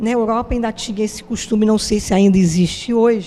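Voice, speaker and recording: A fairly high-pitched woman with music in the background. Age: 70s. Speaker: interviewee. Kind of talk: interview.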